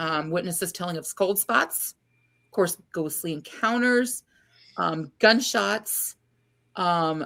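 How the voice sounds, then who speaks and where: Over a silent background in a very clean recording, a woman with an American accent and a fairly low pitch speaks at a very slow pace with long, frequent pauses. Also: ordinary pitch variation. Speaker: paranormal podcast co-host. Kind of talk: podcast chat presenting research. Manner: hesitant, many fillers.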